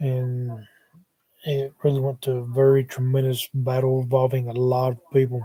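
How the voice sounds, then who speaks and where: With an American accent, a man speaks at a moderate pace in a medium-pitched, dark, mellow, somewhat breathy voice with monotone, flat intonation. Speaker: paranormal YouTuber. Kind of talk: livestream monologue. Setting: live stream on laptop. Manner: hesitant with many fillers. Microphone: laptop mic, sound changed when moved closer.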